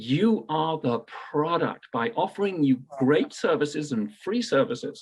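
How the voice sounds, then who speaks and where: At a fairly slow pace, a man speaks at a fairly high pitch with very wide pitch swings. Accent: British. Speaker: payments industry entrepreneur. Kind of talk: radio interview.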